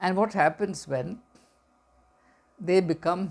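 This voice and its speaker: A fairly slow man's voice in a Keralan accent. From India, Kerala. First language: Malayalam. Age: 60s. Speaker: educator and commentator. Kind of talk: reflective talk to camera. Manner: halting, with repetitions and fillers.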